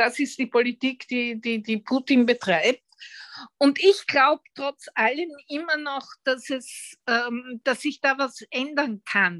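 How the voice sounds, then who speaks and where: A woman's high-pitched voice with ordinary pitch variation at a very slow pace, dry and close with no echo, on a very clean recording with a silent background. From Vienna, Austria. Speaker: retired journalist and writer. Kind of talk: interview.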